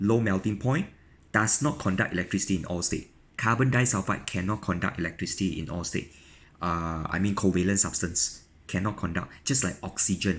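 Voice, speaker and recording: Very deep and low, a man's voice moves at a fairly quick pace. The recording is very clean, with a silent background. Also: ordinary pitch variation. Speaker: chemistry teacher. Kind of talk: tutorial. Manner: fast; halting.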